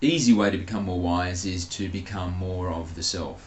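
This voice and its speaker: A man with a very deep, low voice, somewhat breathy, recorded with audible room echo. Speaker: spiritual channeler. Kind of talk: casual monologue; channeled spiritual talk.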